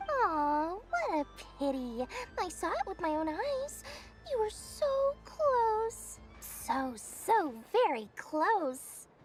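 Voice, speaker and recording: Over clear music in the background, a woman uses a put-on character voice at a very slow pace. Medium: video game. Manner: smooth, wheedling salesman patter.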